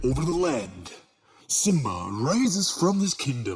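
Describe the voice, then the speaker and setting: Doing a put-on character voice, a man speaks fairly slowly at a medium pitch with very wide pitch swings. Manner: grand, dramatic, presenter-like.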